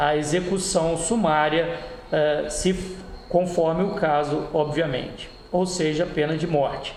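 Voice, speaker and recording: With audible room echo and noticeable background noise, a high-pitched man talks at a fairly slow pace with fairly even intonation. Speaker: law tutor. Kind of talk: lecture. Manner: hesitant, many fillers.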